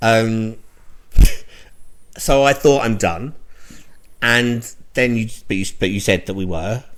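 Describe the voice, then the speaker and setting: With a London accent, a man talks at a very slow pace with long, frequent pauses. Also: medium pitch for a man, ordinary pitch variation. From London, England. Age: 40s. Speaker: podcast co-host. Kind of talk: casual chat.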